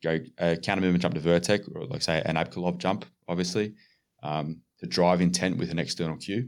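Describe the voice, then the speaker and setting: A man with a very deep, low pitch and an Australian accent, speaking at a fairly quick pace in a very clean recording with a silent background. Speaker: strength and conditioning coach. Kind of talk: casual chat.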